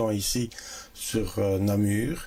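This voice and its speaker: This is a man's voice. His pitch sits fairly low. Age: 60s. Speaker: local election candidate. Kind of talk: interview.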